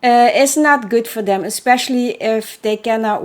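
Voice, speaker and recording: In a Belgian accent, a woman speaks on a very clean recording with a silent background. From Belgium. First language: not English. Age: 40s. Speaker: horse welfare advocate and author. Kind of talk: unscripted solo podcast monologue. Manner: hesitant, many fillers.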